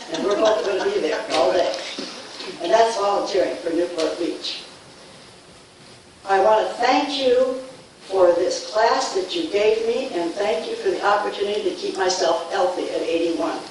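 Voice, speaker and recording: Amid audible room echo and noticeable background noise, a woman at medium pitch talks at a moderate pace with lively intonation and long, frequent pauses. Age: 80s+. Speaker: public commenter at a council meeting. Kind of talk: prepared public comment. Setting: city council meeting.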